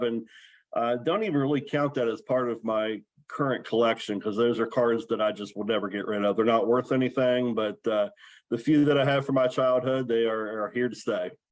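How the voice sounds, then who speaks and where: With an American accent, a man has a normal speaking voice, speaking at medium pitch and a moderate pace with fairly even intonation. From western Maryland. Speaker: sports card collector. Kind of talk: podcast interview.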